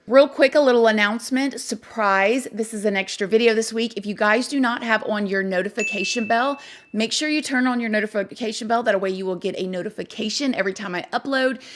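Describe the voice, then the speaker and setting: Over noticeable background noise, a woman speaks fairly quickly at a fairly high pitch in an animated tone, her pitch varying in an ordinary way. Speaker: true crime YouTuber. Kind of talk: casual vlog-style commentary.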